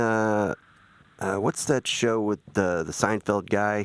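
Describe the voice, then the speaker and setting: An unremarkable speaking voice from a man, fairly low and fairly slow, in a dry, close sound with no echo. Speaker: podcast host. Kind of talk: casual chat. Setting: studio.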